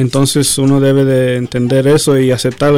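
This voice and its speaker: Here a man speaks at a medium pitch and a moderate pace. His intonation stays monotone and flat. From Los Angeles area, Mexican-American. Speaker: doctor. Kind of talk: interview. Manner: halting, many repetitions.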